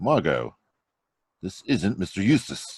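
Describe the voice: Putting on a character voice, a man speaks slowly at a low pitch with big pitch swings, a slightly mellow tone and a slightly husky edge.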